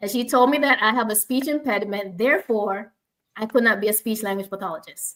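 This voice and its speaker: A woman with a Jamaican accent, fairly high-pitched and very fast. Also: ordinary pitch variation. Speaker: speech language pathologist, forum host. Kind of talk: online panel discussion. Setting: live online stream.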